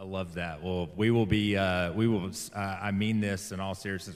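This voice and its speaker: Someone speaks with a Southern US accent at a fairly quick pace. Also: man. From US South (Alabama). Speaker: interview show host. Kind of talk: interview.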